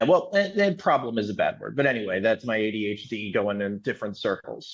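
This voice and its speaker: A man with an American accent speaks at a moderate pace, his intonation lively. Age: 40s. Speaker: salesperson. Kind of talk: casual chat. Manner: halting.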